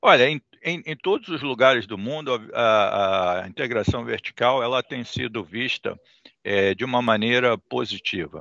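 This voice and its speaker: A man's medium-pitched voice at a fairly slow pace, with ordinary pitch variation, a dry sound with no echo and a quiet background. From Brazil. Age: 60s. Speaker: port industry executive. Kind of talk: interview. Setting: video call. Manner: halting, frequent fillers. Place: office. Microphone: headset.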